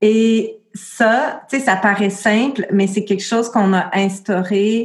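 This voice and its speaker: A woman speaks very slowly in a Quebec accent. Her intonation stays fairly even. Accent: Québécois French. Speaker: midwife and birth educator. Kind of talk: interview.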